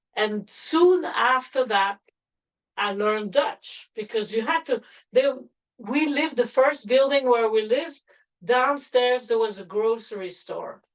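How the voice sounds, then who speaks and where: A woman with a French accent speaks at a fairly slow pace in a high pitch, her pitch varying in an ordinary way. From Belgium, Antwerp. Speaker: grandmother interviewee. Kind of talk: family oral-history interview.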